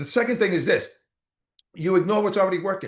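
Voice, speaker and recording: A man speaks with a Boston accent. His pitch is high, with ordinary variation. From Boston, US. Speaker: motivational speaker. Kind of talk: motivational talk. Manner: fast; animated.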